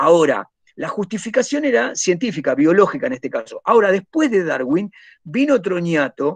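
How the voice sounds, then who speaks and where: Against a quiet background, a man speaks at a high pitch with very wide pitch swings. The sound is dry with no echo. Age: 50s. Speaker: teacher. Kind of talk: lecture. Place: home room. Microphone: webcam.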